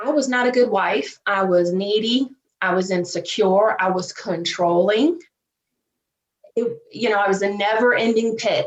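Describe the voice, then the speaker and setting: A woman in a strong Southern US accent, medium in pitch, with ordinary pitch variation at a moderate pace. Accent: thick Southern US. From US South, Virginia. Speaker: divorce coach. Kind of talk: podcast interview.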